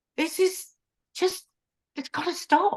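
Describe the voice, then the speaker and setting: A woman talks with a London accent. The background is quiet. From South London. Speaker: cooking show host. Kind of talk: casual chat. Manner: animated.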